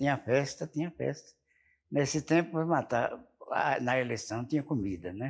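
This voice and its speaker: A man speaks fairly slowly. His voice moves through very wide pitch swings. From Sergipe, northeastern Brazil. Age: 80s+. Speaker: former mayor and farmer. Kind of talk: interview. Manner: halting, repetitive.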